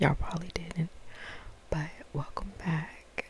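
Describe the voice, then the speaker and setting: A woman whispers at a fairly slow pace. There is noticeable noise behind her. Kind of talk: book review, talking to camera. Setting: ASMR video. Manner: soft-spoken, whispered.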